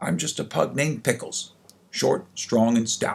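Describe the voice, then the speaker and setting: At a moderate pace, a raspy put-on character voice delivers the lines. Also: man, medium pitch for a man. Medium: read story.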